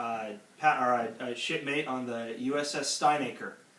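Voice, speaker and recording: A man talks at a medium pitch with fairly even intonation. Noticeable background noise sits behind him. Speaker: grandson interviewer. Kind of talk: casual interview questions.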